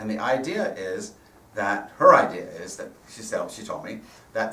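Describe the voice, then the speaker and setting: There is audible room echo and noticeable background noise as a man talks at a moderate pace. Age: 60s. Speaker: rabbi and guest speaker. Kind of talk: sermon.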